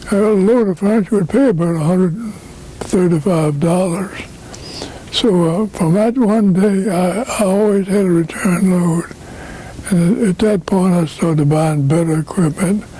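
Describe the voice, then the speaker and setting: A man's high-pitched voice at a fairly slow pace, with ordinary pitch variation, very even loudness and noticeable background noise. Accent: American. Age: 80s+. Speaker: trucking company founder. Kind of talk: interview answer.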